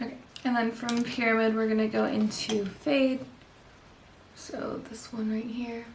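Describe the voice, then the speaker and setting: Soft-spoken and monotone, the speaker moves at a fairly slow pace with long, frequent pauses, amid light background noise and audible room echo. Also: woman, fairly high pitch for a woman. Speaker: beauty vlogger. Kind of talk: makeup tutorial. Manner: quiet.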